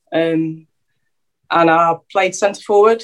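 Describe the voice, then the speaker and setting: A woman with a fairly low voice, speaking at a fairly slow pace. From England, London then Derby. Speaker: footballer and teaching assistant. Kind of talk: casual interview.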